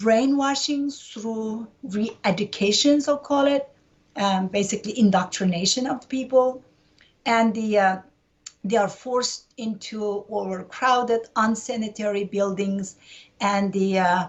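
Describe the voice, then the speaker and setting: A fairly high-pitched, somewhat breathy woman in a Uyghur accent, at a fairly slow pace with ordinary pitch variation. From East Turkestan (Xinjiang), Urumqi. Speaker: human rights activist. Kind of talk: interview. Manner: frequent hesitations (uh, um).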